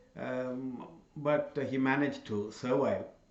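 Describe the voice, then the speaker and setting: Background noise is noticeable and room echo can be heard. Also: man. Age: 60s. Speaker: channel host giving talks. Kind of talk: solo talk to camera. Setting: in front of cameras. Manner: halting, many fillers.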